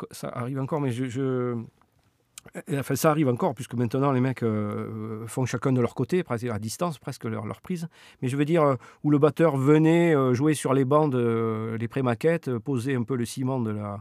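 A man's medium-pitched voice at a moderate pace with long, frequent pauses, very clean recording, silent background, dry, close sound with no echo. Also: ordinary pitch variation. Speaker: professional musician. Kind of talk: casual interview. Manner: halting.

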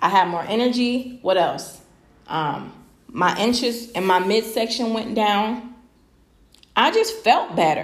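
A woman speaks in a fairly high pitch with lively intonation. She goes at a fairly slow pace, with long, frequent pauses. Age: 30s. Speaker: podcast host, mother. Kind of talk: casual personal monologue. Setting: live podcast stream.

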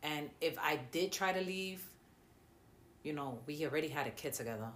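A woman speaks at a moderate pace with a very deep, low pitch. There is audible room echo. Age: 30s. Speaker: domestic violence survivor. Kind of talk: testimony.

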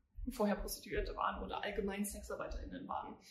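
Fairly quick speech from a woman, with audible room echo around it. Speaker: podcast host, youth political activist. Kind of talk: casual political discussion.

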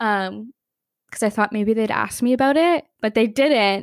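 A woman speaks at a moderate pace in a normal speaking voice, her pitch fairly high. The recording is very clean and dry, close with no echo and a silent background. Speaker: podcast co-host. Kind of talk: casual chat.

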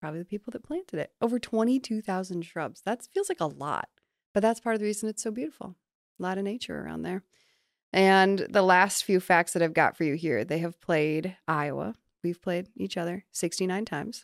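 A woman's unremarkable speaking voice at a medium pitch, fairly quick, with ordinary pitch variation and a dry, close sound free of echo. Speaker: podcast co-host. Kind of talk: casual chat.

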